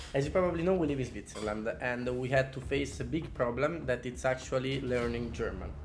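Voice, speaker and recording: Speaking with an Italian accent at a fairly quick pace and with hardly any pauses, this man has a medium pitch and ordinary pitch variation, with audible room echo and noticeable background noise. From Italy. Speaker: podcast co-host, calisthenics athlete. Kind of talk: casual chat.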